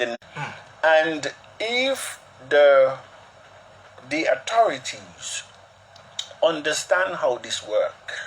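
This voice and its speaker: Over noticeable background noise, a man with an Antiguan accent speaks at a very slow pace, his fairly high pitch moving in very wide pitch swings. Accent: Antiguan, non-Liberian. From Antigua and Barbuda. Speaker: cryptocurrency promoter. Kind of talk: broadcast interview.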